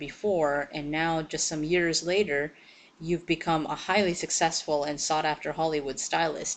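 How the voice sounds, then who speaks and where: A woman with a normal speaking voice, fairly low in pitch, at a moderate pace against a quiet background. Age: 30s. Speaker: interviewer. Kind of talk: interview.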